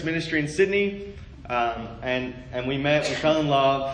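A man with an Australian accent talks at a fairly slow pace, his intonation lively. There is audible room echo and noticeable background noise. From Australia, Melbourne. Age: 20s. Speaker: preacher. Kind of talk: sermon. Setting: church. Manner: animated.

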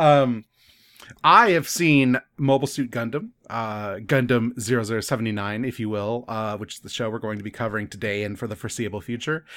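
A man talks at a fairly quick pace in an ordinary speaking voice, with medium pitch and ordinary pitch variation. His loudness swings widely, and the recording is very clean, with a silent background. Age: 30s. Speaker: podcast host. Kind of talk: casual chat.

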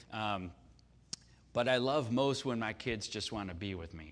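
With audible room echo, a man speaks at a moderate pace and medium pitch in an animated tone with lively intonation. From US Midwest, Chicago. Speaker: pastor. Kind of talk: sermon. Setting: church service with audience.

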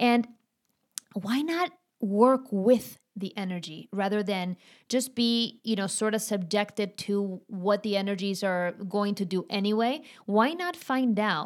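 A woman with a Spanish accent talks at a fairly slow pace with lively intonation, on a very clean recording with a silent background. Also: medium pitch for a woman. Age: 40s. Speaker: astrology coach. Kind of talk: casual interview chat.

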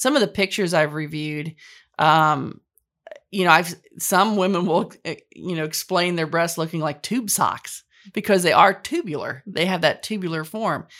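An unremarkable speaking voice from a woman, fairly low in pitch, moderate pace, ordinary pitch variation, very clean recording with a silent background. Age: 50s. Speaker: patient sharing surgery story. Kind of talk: testimony.

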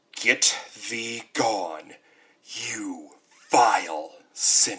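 Booming and raspy, a man puts on a character voice, talking at a very slow pace with long, frequent pauses. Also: medium pitch for a man. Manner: disgusted, condemning.

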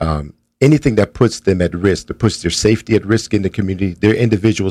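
Talking at a very fast pace, a man with a fairly low pitch shows ordinary pitch variation. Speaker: street outreach worker. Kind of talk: casual chat.

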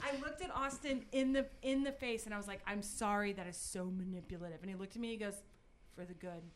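A woman speaks at a very fast pace with lively intonation. Audible room echo surrounds her voice. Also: medium pitch for a woman. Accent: American. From Texas, Highlands (rural Houston area). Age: 30s. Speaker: podcast guest, community event organizer. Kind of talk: casual chat.

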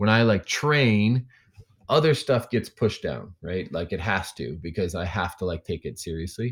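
With a normal speaking voice, a man at a fairly low pitch talks at a moderate pace with lively intonation in a very clean recording with a silent background. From Indiana, US Midwest. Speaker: weightlifting coach. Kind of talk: casual interview conversation.

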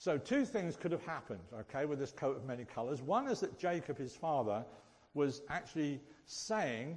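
The voice is somewhat breathy, at a moderate pace. Its intonation is lively. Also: man. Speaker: church speaker. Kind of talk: sermon. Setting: church. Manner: jokey, self-deprecating.

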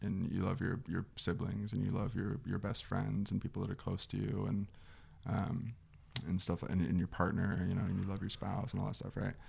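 A man speaks in a General American accent at a fairly low pitch. His voice has vocal fry and ordinary pitch variation. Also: moderate pace. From Arizona, Scottsdale. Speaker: former football player. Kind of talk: casual chat.

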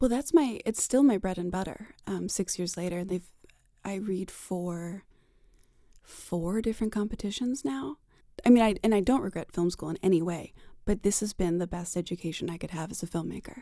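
Her voice has a dark, mellow tone and a medium pitch, as the woman speaks at a moderate pace with ordinary pitch variation. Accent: American. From Maryland, Silver Spring. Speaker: film festival programmer. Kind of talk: interview.

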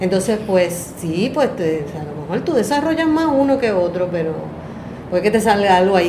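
Over noticeable background noise and audible room echo, a woman talks at a moderate pace and medium pitch. Her intonation is lively. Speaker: artist, teacher and singer. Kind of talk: casual chat. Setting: in person in San Juan.

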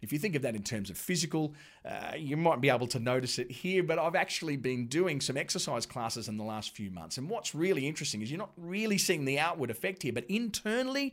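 In an Australian accent, a man with a fairly high pitch talks at a fairly quick pace with very wide pitch swings on a very clean recording with a silent background. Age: 40s. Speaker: pastor. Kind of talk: sermon. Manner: conversational.

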